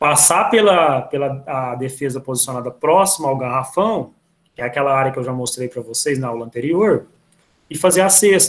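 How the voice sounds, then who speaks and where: Using an ordinary speaking voice, a man speaks at a moderate pace with lively intonation and a fairly high pitch. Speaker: physical education teacher. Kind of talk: online class lecture. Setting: video call.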